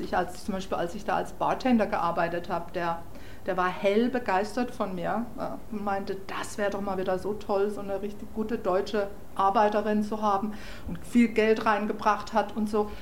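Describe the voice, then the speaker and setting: In a room with audible echo, a woman speaks at a medium pitch and moderate pace with monotone, flat intonation. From southwestern Germany, Freiburg. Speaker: German emigrant. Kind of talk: interview.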